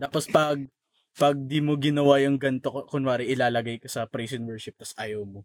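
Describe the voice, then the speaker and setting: Heard dry and close with no echo, an ordinary speaking voice moves at a fairly quick pace with fairly even intonation and big swings in loudness. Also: man, medium pitch for a man. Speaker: podcast co-host. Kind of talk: casual chat.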